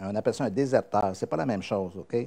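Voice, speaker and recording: Lively intonation marks a man's dark, mellow tone as he speaks at a moderate pace. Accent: Quebec. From Quebec. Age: old. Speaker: pastor. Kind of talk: sermon.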